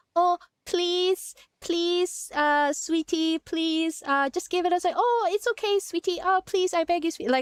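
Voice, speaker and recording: A woman uses a put-on character voice at an extremely high pitch with ordinary pitch variation. Her moderate pace comes through in a dry, close sound with no echo. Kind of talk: sugary and pleading. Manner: cutesy, coaxing, babyish.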